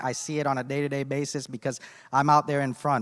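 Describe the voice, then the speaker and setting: Talking at a very fast pace, a man with a fairly high voice is heard on a very clean recording with a silent background and a dry, close sound with no echo. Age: 30s. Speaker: businessman, congressional candidate. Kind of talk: candidate forum speech. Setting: public forum with audience.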